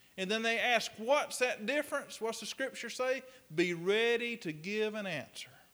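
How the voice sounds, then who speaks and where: His voice is raised and projected, pitched high. This man talks at a moderate pace. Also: ordinary pitch variation. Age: 40s. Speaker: pastor. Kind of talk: sermon.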